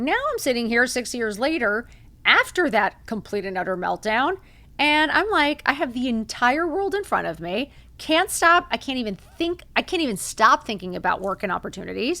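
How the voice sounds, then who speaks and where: At a moderate pace, a high-pitched woman speaks in an animated, bright, sharp tone with very wide pitch swings, on a very clean recording with a silent background. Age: 50s. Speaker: podcast host. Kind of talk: motivational monologue.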